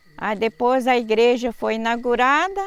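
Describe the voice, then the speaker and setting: Noticeable background noise runs under the recording. A woman is speaking. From Minas Gerais, Brazil (Itueta area). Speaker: church member. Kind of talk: testimony.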